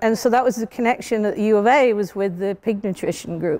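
A woman speaks with a British accent. Her pitch is fairly high. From UK. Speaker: CEO and scientist. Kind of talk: interview answer. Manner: casual, storytelling. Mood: animated, humorous storytelling. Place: hall.

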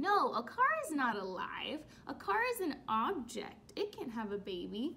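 A woman speaks slowly at a high pitch, her bright, sharp tone moving through big pitch swings.

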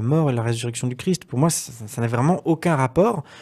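A man against a quiet background. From Brittany, France. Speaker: interview guest. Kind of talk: interview testimony. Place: studio. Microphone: studio mic.

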